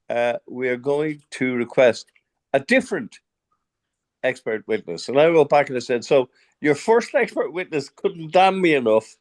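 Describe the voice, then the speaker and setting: Very wide pitch swings mark this speaker's Irish accent. The pace is moderate, broken by long, frequent pauses. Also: man, fairly high pitch for a man. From Ireland. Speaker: dentist. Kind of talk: webinar discussion.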